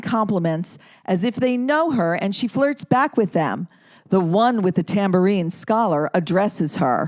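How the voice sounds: A woman with a medium-pitched voice talks at a fairly slow pace, her tone slightly mellow and her intonation lively.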